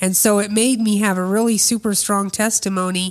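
Medium-pitched woman's voice with an American accent, monotone, flat intonation, and a very clean recording with a silent background. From Des Moines, Iowa. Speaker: farmer's wife and camp cook. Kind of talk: testimony interview. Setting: on location at the farm, sharing a mic.

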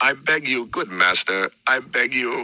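A man uses a put-on character voice that is raspy, at medium pitch. He goes at a fairly slow pace. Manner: pleading, begging.

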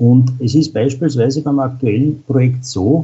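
Somewhat breathy, a man speaks at a fairly slow pace in a medium pitch. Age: 40s. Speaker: utility engineer. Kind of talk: interview. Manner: frequent filler sounds.

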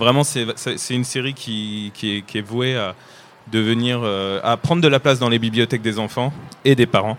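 The man has a medium pitch and fairly even intonation. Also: moderate pace. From France. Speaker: comic book illustrator. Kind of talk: panel talk for children. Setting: book fair stage with audience. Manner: halting.

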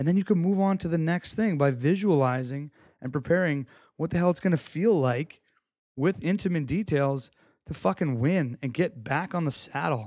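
Speaking at a moderate pace, a man uses an ordinary speaking voice, fairly high in pitch with lively intonation, on a very clean recording with a silent background. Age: 30s. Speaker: sports mental performance podcaster. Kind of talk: solo podcast monologue. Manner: casual, conversational.

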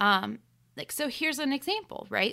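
With a bright, sharp tone and an American accent, a woman speaks at a fairly slow pace with ordinary pitch variation in a very clean recording over a silent background. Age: 30s. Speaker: choir teacher and podcast host. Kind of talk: solo monologue. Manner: hesitant fillers.

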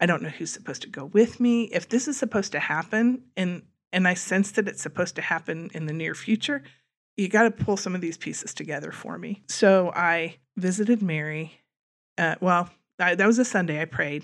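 A woman with a plain, everyday voice in an American accent, medium pitch, ordinary pitch variation, a fairly quick pace and big swings in loudness. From US Midwest, Wabash, Indiana. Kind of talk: faith testimony.

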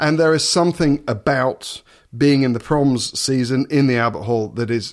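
A man with an English accent talks at a medium pitch and a moderate pace with ordinary pitch variation. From eastern England, Suffolk. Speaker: orchestral double bass player and TV personality. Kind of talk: interview.

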